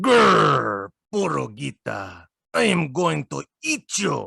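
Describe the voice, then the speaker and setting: Growling in a put-on character voice, a man speaks. His pace is very slow. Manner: growling, threatening.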